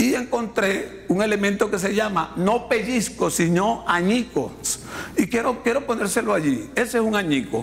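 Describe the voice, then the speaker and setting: A man's high voice with ordinary pitch variation, noticeable background noise and audible room echo. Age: 60s. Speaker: pastor. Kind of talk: sermon. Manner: halting, many repetitions and fillers.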